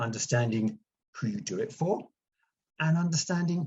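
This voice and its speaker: A somewhat breathy man talks with a fairly high pitch. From UK. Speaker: branding consultant. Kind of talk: presentation. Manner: hesitant, many fillers.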